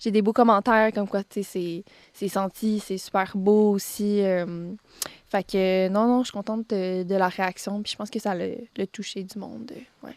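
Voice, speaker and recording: Loudness swings widely but intonation stays fairly even in this dry, close sound with no echo. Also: woman, medium pitch for a woman. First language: Spanish (speaking French). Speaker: singer-songwriter. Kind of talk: radio interview. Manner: halting, many fillers.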